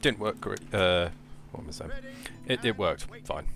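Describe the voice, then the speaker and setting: A man with a British accent talks, his pitch moving in an ordinary way. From Britain. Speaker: gaming YouTuber. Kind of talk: gameplay commentary. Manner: halting, many fillers.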